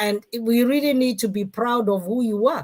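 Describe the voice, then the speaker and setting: A woman speaks with a Kenyan accent at a moderate pace. Her pitch is fairly high. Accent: Kikuyu Kenyan accent, unchanged. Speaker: talk show host and former mayor. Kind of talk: live-stream talk show. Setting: online live stream.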